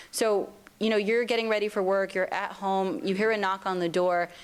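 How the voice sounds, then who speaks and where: Delivery is very fast, with ordinary pitch variation. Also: woman. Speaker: civil rights advocate. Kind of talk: lecture.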